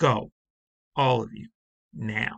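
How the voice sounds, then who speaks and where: A man uses a raspy, put-on character voice. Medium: read story. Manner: low and urgent.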